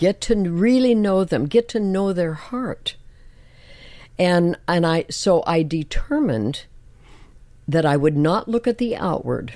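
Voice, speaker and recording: The speech moves at a fairly slow pace with very wide pitch swings and long, frequent pauses. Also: woman, medium pitch for a woman. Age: 80s+. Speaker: church elder, widow. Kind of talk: casual chat. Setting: studio.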